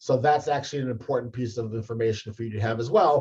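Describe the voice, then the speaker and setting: His voice comes across as somewhat breathy. The man keeps up a fairly quick pace. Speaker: career advisor. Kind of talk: tutorial.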